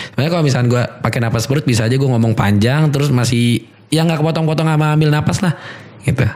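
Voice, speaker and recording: Over noticeable background noise, a man talks very fast with a fairly high pitch and ordinary pitch variation. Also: very even loudness. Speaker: MC and podcaster. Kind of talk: casual podcast chat. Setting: studio. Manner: slightly hurried, not using belly breathing.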